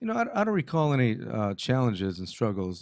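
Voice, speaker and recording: A man with a Californian accent talks at a fairly quick pace against a quiet background. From Montebello, California. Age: 50s. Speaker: youth club executive director. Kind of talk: casual interview. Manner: halting.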